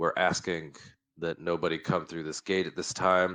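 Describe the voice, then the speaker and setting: A man uses a put-on character voice with a very deep, low pitch. The voice is raspy. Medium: actual play. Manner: formal, courteous.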